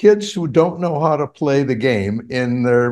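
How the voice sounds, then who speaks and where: Over a quiet background, a man with a fairly high pitch speaks with lively intonation. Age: 80s+. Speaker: grief researcher. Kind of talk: interview. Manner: halting.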